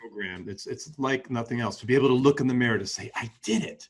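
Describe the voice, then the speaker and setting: A man's unremarkable speaking voice at medium pitch and a fairly quick pace. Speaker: podcast host. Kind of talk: interview question.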